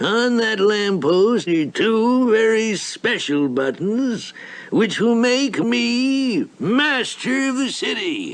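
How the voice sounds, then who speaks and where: A cartoonish character voice at a very slow pace, with light background noise. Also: man, high pitch for a man. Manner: pompous, gloating.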